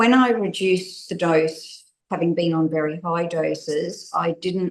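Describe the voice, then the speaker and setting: This voice has an Australian accent. The pace is moderate. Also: woman. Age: 60s. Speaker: interviewee sharing personal experience. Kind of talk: testimony.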